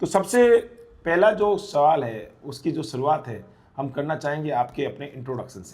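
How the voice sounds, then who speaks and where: His pitch swings very widely and his voice is somewhat breathy. The man talks at a fairly slow pace. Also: fairly high pitch for a man, big swings in loudness. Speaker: nursing exam coaching teacher interviewing toppers. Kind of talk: interview. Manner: animated.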